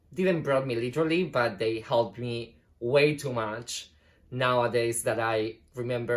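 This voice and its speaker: Here a man has an unremarkable speaking voice, with a medium pitch and a moderate pace. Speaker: ballet dancer. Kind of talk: casual talk to camera.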